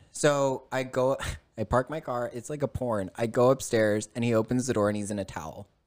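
A man with a plain, everyday voice speaks at a medium pitch. His pace is fairly quick and his intonation fairly even. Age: 30s. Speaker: podcast guest sharing life story. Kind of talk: casual chat.

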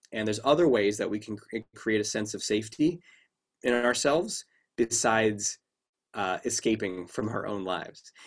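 A moderate pace with ordinary pitch variation. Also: man, medium pitch for a man. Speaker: clinical psychologist and confidence coach. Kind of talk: interview. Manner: dynamic, humorous speaker.

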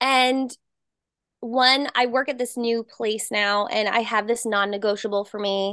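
A woman with an American accent talks fairly slowly at a fairly high pitch, with fairly even intonation. It is a normal speaking voice over a quiet background. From New Jersey. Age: 20s. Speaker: personal trainer and screenwriter. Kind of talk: casual chat.

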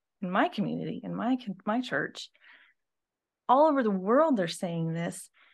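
At a moderate pace, a woman with an unremarkable speaking voice talks using lively intonation. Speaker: church administrator and pastor's wife. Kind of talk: casual chat.

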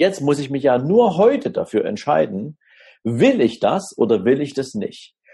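A man's dark, mellow voice sits fairly high in pitch, with vocal fry and very wide pitch swings. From Dresden, Saxony (eastern Germany). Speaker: financial advisor. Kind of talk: interview.

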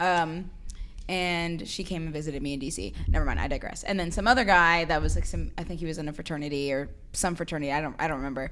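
Someone speaks at a very fast pace, with audible room echo. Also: woman, fairly low pitch for a woman, ordinary pitch variation. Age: 20s. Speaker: guest, sister of host, incoming law student. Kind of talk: casual chat.

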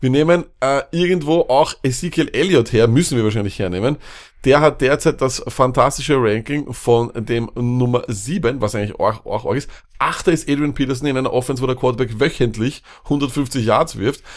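A man at a moderate pace, an unremarkable speaking voice with ordinary pitch variation. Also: medium pitch for a man. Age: 30s. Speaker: fantasy football podcast co-host. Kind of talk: casual chat.

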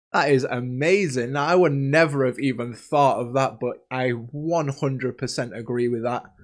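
With hardly any pauses, a man in an unremarkable speaking voice talks at a moderate pace, medium in pitch with fairly even intonation. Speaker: podcast host. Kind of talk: casual chat podcast. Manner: casual, chatty, jokey.

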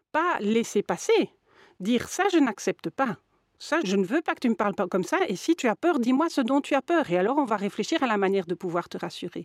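A woman talks at a fairly high pitch. Her pace is fairly quick, and her pitch swings very widely. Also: dry, close sound with no echo. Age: 50s. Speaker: lawyer and mediator. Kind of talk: interview.

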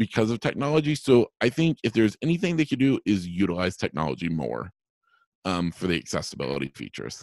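A man's fairly low voice with vocal fry, very fast and sweeping very widely in pitch, in a dry, close sound with no echo. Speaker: travel agent, blind traveler. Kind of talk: interview, casual conversation.

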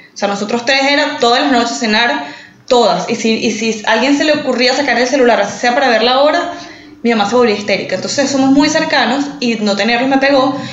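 At a very fast pace, a woman talks in a high pitch with ordinary pitch variation and very even loudness. Audible room echo and noticeable background noise run through the clip. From Venezuela, San Antonio (small town). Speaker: podcast co-host. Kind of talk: casual chat.

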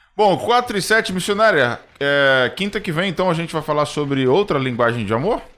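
A man's fairly high voice, bright and sharp in tone, with very wide pitch swings and hardly any pauses. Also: moderate pace. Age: 30s. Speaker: radio host. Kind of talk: live radio hosting.

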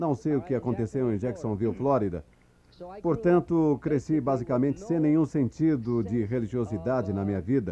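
With a dark, mellow tone and lively intonation, a man talks at a moderate pace in a medium pitch. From New York City (the Bronx). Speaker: motivational speaker at a business convention. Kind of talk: motivational speech. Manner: animated.

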